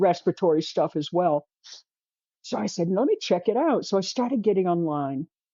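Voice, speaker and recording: A woman speaks at a moderate pace with a medium pitch and an unremarkable speaking voice. Her intonation is lively. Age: 60s. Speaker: artist. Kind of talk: interview.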